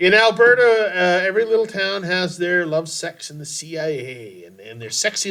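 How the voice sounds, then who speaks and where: A man with a high-pitched voice that swings very widely up and down. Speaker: podcast host, community theater performer. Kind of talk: casual chat.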